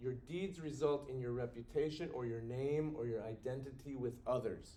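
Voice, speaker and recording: Audible room echo surrounds a man's voice. His pitch is medium, with ordinary pitch variation. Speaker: university professor. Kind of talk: recorded lecture. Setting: recorded video for students. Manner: fast.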